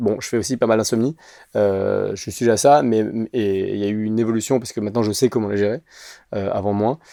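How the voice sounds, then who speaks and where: A man's fairly quick, dark, mellow voice with fairly even intonation against a quiet background. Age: 30s. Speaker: actor and sketch creator. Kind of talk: casual interview chat. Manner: fast; hesitant, many fillers.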